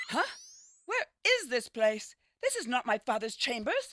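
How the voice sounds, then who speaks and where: The pace is moderate. The speaker uses a put-on character voice. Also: female-sounding voice, high pitch for a woman. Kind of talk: campy B-movie acting. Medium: video game. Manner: grand, theatrical.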